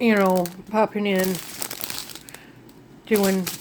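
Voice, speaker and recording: Background noise is noticeable throughout. The speaker is a woman. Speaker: diamond painting craft vlogger. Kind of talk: casual haul video talk. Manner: rambling, self-correcting.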